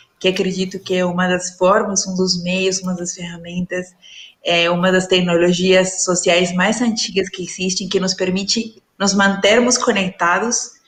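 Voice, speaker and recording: Speaking at a fairly slow pace with a Peruvian accent, a woman's medium-pitched, somewhat breathy voice stays monotone and flat. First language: Spanish (speaking Portuguese). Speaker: leadership and dialogue facilitator. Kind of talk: panel talk in a live stream. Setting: online live stream. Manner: halting, with many fillers.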